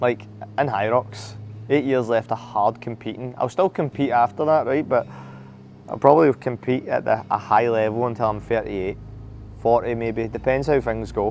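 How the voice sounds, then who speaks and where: A man with a Scottish accent, medium pitch, ordinary pitch variation and a moderate pace. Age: 30s. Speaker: HYROX athlete. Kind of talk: candid reflective monologue.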